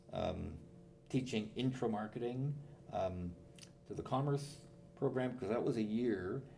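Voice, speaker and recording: Speaking with a Canadian accent, a man uses lively intonation at a fairly slow pace, with audible room echo around him. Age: 70s. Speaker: business professor. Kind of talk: interview.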